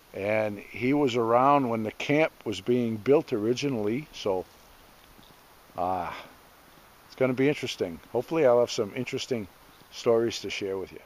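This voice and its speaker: In a dry recording with no echo, a man speaks at a moderate pace with ordinary pitch variation, big swings in loudness and long, frequent pauses. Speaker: homestead vlogger. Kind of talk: casual vlog chat. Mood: relaxed, amused. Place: forest. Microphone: phone near.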